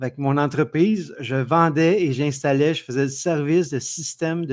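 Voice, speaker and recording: A man with a Quebec accent speaks at a moderate pace and fairly high pitch, his intonation fairly even. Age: 60s. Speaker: entrepreneur. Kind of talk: interview.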